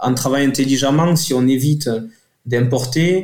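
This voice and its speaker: Speaking at a fairly slow pace, a man with a southern French accent has a dark, mellow tone, medium pitch and fairly even intonation. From southern France, Toulouse area. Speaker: company director. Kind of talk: radio interview. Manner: halting.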